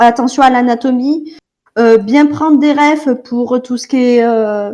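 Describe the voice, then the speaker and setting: In a southern French accent, a woman speaks at a very slow pace. Her pitch is high, with ordinary pitch variation. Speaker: artist giving drawing critique. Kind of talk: drawing critique in group call. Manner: hesitant, many fillers.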